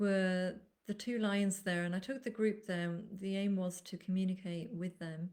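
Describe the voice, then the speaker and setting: In an English accent, a woman speaks at a medium pitch. Her intonation stays fairly even. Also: moderate pace. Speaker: animal communicator. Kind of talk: live webinar talk. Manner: loud.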